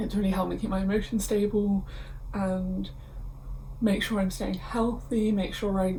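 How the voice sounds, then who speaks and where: In a room with audible echo, a woman speaks at a moderate pace in a medium-pitched, somewhat breathy voice with a dark, mellow tone and monotone, flat intonation. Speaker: university student vlogger. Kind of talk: casual vlog. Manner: casual.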